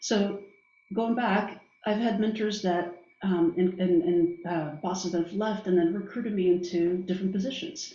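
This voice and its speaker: Audible room echo and noticeable background noise accompany a woman speaking at a moderate pace with ordinary pitch variation. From Brazil. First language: Portuguese. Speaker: business executive. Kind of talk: interview. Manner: halting, many fillers.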